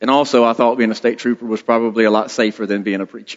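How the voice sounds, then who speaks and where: A man speaks at a medium pitch with a strong Southern US accent. His intonation stays monotone and flat. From South Carolina, US South (Blackville). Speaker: state trooper, lay preacher. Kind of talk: sermon. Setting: church. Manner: casual, self-deprecating.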